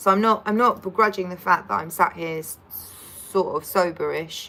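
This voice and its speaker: A woman speaks at a moderate pace in a bright, sharp tone with fairly even intonation. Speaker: livestreamer. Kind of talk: casual livestream chat. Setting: livestream. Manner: slurred speech.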